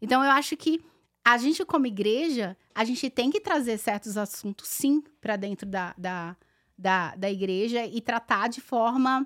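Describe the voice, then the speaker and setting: A woman with a Paulista accent speaks at a fairly slow pace with lively intonation. The recording is very clean, with a silent background. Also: fairly high pitch for a woman, dry, close sound with no echo. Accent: Paulista Brazilian Portuguese. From Brazil, São Paulo city. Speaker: online content creator. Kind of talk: casual chat.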